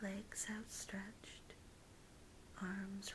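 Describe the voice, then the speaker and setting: Soft-spoken and flat in intonation, a woman with an American accent talks at a very slow pace and a medium pitch. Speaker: ASMR artist. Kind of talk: guided visualization.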